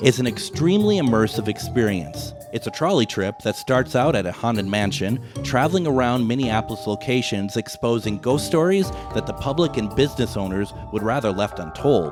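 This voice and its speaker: A man speaks fairly quickly with hardly any pauses, his pitch swinging very widely. Music plays in the background. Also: medium pitch for a man. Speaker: radio host. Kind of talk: radio ad read.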